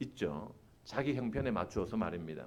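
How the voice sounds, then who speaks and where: A man speaks at a moderate pace with vocal fry. His pitch swings very widely, and room echo is audible. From Busan, South Korea. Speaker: preacher and seminary professor. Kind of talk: sermon. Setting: church. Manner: animated, engaging the congregation.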